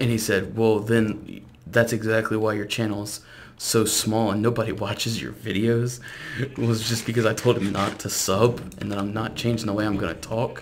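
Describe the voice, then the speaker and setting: With audible room echo, a man speaks in a flat monotone at a moderate pace. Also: fairly low pitch for a man. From South Louisiana. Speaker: gaming YouTuber. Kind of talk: casual gameplay commentary.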